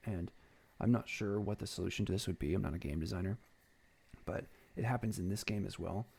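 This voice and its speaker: A man's somewhat breathy, dark, mellow voice with long, frequent pauses, in a very clean recording with a silent background. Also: ordinary pitch variation. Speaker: gaming video essayist. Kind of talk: game commentary over gameplay. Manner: hesitant, many ums.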